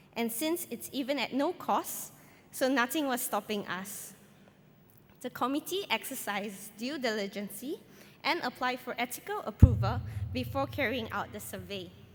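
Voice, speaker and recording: With music in the background, a woman with a fairly high pitch talks at a moderate pace, her intonation lively and her loudness swinging widely. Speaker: nurse researcher. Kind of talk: conference presentation.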